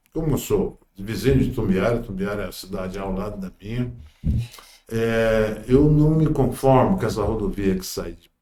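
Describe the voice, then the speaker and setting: A man speaks at a moderate pace in a dark, mellow tone with very wide pitch swings. The room echo is audible. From Goiás, Brazil (Buriti Alegre). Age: 70s. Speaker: politician, congressional pre-candidate. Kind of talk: interview.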